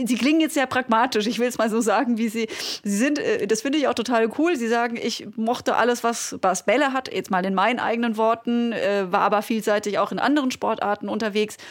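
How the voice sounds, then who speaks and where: A fairly quick pace and ordinary pitch variation, with noticeable background noise. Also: woman, fairly high pitch for a woman. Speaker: podcast host, former sports journalist. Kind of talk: interview.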